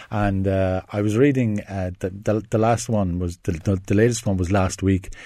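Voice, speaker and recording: Speaking in an Irish accent, a man with a fairly low pitch and a dark, mellow tone keeps a moderate pace and fairly even intonation. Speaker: film critic. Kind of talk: casual radio chat. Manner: talkative, hesitant with fillers.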